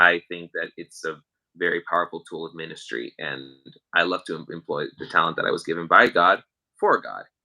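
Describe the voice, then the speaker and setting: Big swings in loudness from a man talking at a fairly quick pace. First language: Spanish. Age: young. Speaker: musician. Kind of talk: casual chat.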